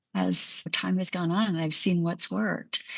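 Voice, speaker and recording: This woman's voice sits at a fairly low pitch. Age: 60s. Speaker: physician. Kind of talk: interview.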